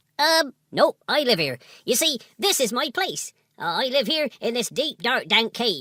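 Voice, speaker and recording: A man performs a put-on character voice at an extremely high pitch with very wide pitch swings and a moderate pace, on a very clean recording with a silent background and a dry, close sound with no echo. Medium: audio drama. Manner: friendly, hesitant.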